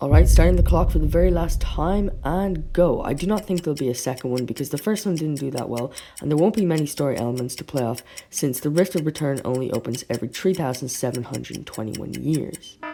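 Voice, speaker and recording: Over noticeable background noise, the speech runs at a very fast pace. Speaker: YouTuber covering cartoon theories. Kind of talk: casual video commentary. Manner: animated.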